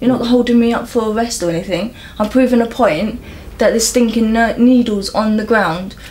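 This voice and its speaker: Over noticeable background noise, a woman with a London accent speaks at a fairly quick pace, her pitch varying in an ordinary way. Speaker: local resident campaigning about needles. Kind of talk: interview. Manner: animated.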